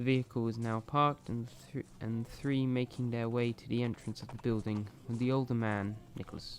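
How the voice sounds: Intonation here stays fairly even. It comes across as a natural reading voice.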